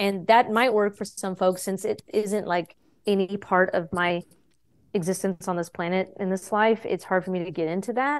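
With an unremarkable speaking voice, a woman talks at medium pitch and a moderate pace. Her intonation is fairly even, and the background is quiet. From Texas. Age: 30s. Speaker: yoga teacher and stand-up comedian. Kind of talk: casual interview.

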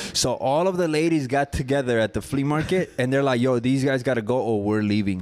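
A man's very fast speech with ordinary pitch variation over noticeable background noise. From Mexico. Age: 30s. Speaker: barber and barbershop owner. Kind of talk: casual chat. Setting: barbershop.

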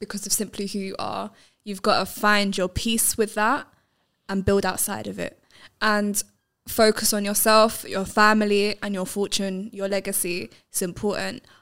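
Speaking in a London accent, a woman holds a medium pitch with monotone, flat intonation at a moderate pace. The recording is very clean, with a silent background. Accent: London English (MLE). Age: young. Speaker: filmmaker and boxing coach. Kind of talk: casual chat.

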